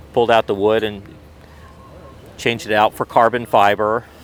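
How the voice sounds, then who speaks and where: Noticeable background noise sits behind a man with a fairly low pitch. He talks at a moderate pace with monotone, flat intonation. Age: 60s. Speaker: car club member, Porsche owner. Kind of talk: casual interview. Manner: halting, many repeats.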